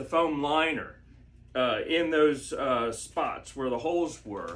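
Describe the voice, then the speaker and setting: A man with an American accent speaks at a very slow pace and a fairly high pitch. His intonation is lively, and the room echo is audible. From Maryland, US. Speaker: home video creator sharing injury recovery tips. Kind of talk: casual tutorial. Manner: halting, many fillers (uh, um).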